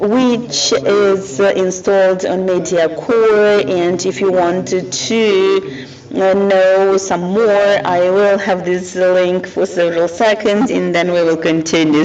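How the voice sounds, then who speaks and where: Over noticeable background noise and audible room echo, a man with a high voice speaks very slowly, with hardly any pauses, fairly even intonation and very even loudness. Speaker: film producer. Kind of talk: conference presentation. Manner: halting, many fillers.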